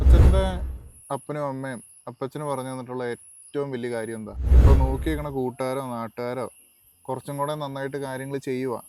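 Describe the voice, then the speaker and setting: In an ordinary speaking voice, a man talks at a medium pitch with fairly even intonation and big swings in loudness, with a dry, close sound and no echo. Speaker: interviewer. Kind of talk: interview questions.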